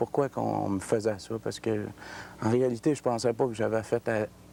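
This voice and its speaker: Speaking at a moderate pace, a man keeps a medium pitch in a monotone, flat intonation. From Quebec City, Quebec. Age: 30s. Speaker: ex-convict testifying. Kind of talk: testimony. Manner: halting.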